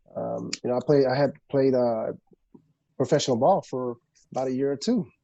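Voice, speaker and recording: With an unremarkable speaking voice, a man talks at a moderate pace, medium in pitch, with fairly even intonation. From immigrant family, grew up in the US. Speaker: film producer and former pro athlete. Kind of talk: podcast interview.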